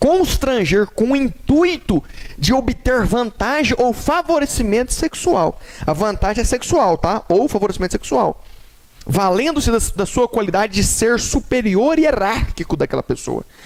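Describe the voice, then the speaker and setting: At a fairly slow pace, a man speaks with an extremely high pitch and very wide pitch swings. His loudness stays very even, with noticeable background noise behind him. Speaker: law teacher. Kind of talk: lecture.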